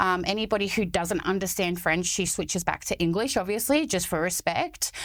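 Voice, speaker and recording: A woman with an Australian accent, medium in pitch, with ordinary pitch variation, on a very clean recording with a silent background. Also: fairly quick pace, very even loudness. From Sydney, Australia (born in France, moved as a small child). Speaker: charity founder. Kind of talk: casual chat.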